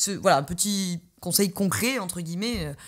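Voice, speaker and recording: On a very clean recording with a silent background, a woman talks at a fairly quick pace with a medium pitch. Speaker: podcast host and coach. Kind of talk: solo podcast monologue. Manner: fast.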